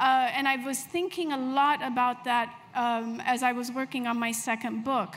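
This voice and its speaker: The speaker has an Ethiopian accent and ordinary pitch variation. The pace is fairly slow, with light background noise. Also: woman. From Ethiopia (Addis Ababa), raised abroad. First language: Amharic. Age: 50s. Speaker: novelist; author on panel. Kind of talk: literary panel discussion. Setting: stage with live audience. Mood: reflective, earnest. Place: tent. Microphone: handheld.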